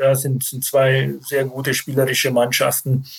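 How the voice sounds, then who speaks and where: A man's medium-pitched voice at a moderate pace. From Bavaria, Germany (Landshut). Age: 50s. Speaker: football club sporting director, former pro player. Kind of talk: interview. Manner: hesitant, many filler sounds.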